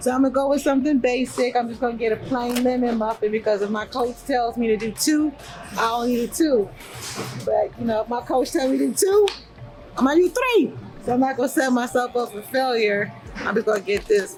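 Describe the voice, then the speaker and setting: Over music in the background, a woman speaks fairly quickly at a high pitch with ordinary pitch variation. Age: 50s. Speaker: bodybuilder and fitness coach. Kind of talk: casual vlog talk. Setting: inside a grocery store. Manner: animated.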